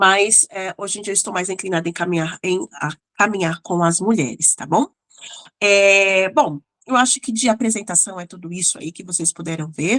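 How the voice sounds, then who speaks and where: With an unremarkable speaking voice, a woman talks at a moderate pace in a medium pitch, with ordinary pitch variation, big swings in loudness, and a dry, close sound with no echo. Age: 30s. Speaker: psychologist and mentor. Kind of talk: online lecture. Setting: recorded video class. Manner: casual, warm.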